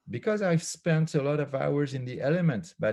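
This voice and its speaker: In a French accent, the voice has a dark, mellow tone and a moderate pace. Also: man. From France. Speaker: philosopher and author. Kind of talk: casual chat. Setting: video call. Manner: halting, many fillers.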